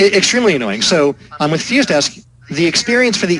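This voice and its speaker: This man's intonation is lively, with noticeable background noise behind him. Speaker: software company founder. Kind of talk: interview. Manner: fast.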